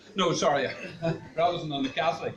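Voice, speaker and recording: A man's fairly quick speech is heard over noticeable background noise. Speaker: amateur comedian, joke teller. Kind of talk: telling jokes to an audience. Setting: live event in a coffee shop with audience.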